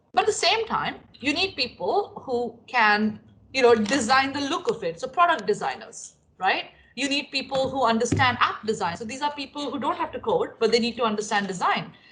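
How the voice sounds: This voice has a fairly bright tone and big pitch swings, moving at a moderate pace with few pauses. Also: woman, fairly high pitch for a woman.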